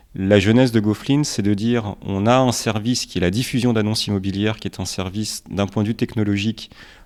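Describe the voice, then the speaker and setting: This man has a normal speaking voice, fairly low in pitch, with fairly even intonation at a fairly quick pace. The recording is very clean with a silent background. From Romania, then France from age five. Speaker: startup founder. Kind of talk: podcast interview.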